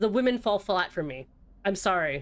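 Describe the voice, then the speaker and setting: A woman with an American accent uses an ordinary speaking voice at a medium pitch and a moderate pace. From Florida. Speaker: streamer. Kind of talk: casual chat. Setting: live stream.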